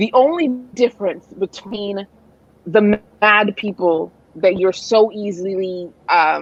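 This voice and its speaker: With a slight Nigerian accent, a woman speaks at a very slow pace in a medium pitch with ordinary pitch variation. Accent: weak Nigerian. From Nigerian heritage. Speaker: writer and mental health advocate. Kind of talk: interview conversation. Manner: halting, many repetitions.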